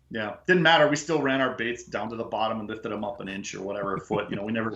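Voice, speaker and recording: A man with an Upper Midwest accent at medium pitch, very fast pace, and ordinary pitch variation. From Upper Peninsula of Michigan. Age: 50s. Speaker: fishing guide. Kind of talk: casual chat.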